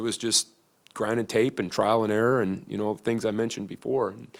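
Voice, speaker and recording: Recorded very cleanly against a silent background, a man with a slight Midwestern accent talks at a fairly quick pace in a fairly low pitch. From US Midwest. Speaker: football coach. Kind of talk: press conference. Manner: halting, many fillers.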